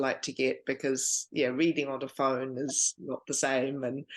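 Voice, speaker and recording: A woman with a New Zealand accent speaks in a very deep, low-pitched voice. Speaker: book club host. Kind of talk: casual chat.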